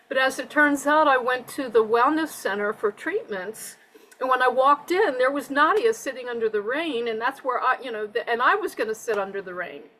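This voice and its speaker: Raising and projecting her high voice, a woman talks at a fairly quick pace with lively intonation. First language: Spanish. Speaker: conference attendee sharing takeaways. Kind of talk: casual chat.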